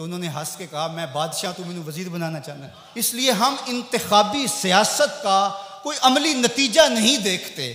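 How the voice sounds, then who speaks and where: Over noticeable background noise, a man with a high pitch uses a raised, projected voice with very wide pitch swings and big swings in loudness. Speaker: Islamic preacher. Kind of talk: Islamic sermon (bayan).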